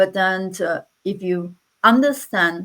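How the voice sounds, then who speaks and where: With ordinary pitch variation, this woman talks at a medium pitch. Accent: non-native. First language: not English. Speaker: interventional radiologist. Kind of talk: panel discussion. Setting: online live panel.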